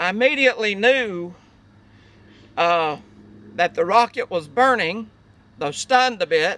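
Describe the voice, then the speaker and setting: In a raised, projected voice with a bright, sharp tone, a man speaks at a fairly slow pace with lively intonation, the sound dry and close with no echo. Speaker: army veteran. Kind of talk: recollection told on site. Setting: outdoors.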